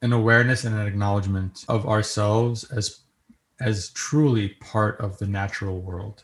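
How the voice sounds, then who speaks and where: A man's somewhat breathy, fairly low voice at a moderate pace, with fairly even intonation and a very clean recording over a silent background. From New York. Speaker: software engineer and composer, guest. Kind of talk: interview, storytelling.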